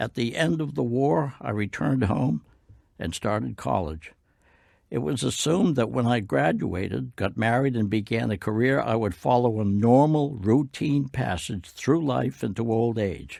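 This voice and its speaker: Medium-pitched man with an American accent and a dark, mellow tone, very wide pitch swings and a moderate pace, on a very clean recording with a silent background. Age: 80s+. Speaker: war veteran. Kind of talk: testimony.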